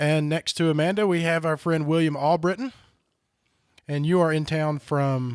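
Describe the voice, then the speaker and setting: A man speaks with a Southern US accent at a moderate pace. His pitch is fairly high for a man, and his intonation stays fairly even. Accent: Southern US, country. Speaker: podcast host. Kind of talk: casual chat.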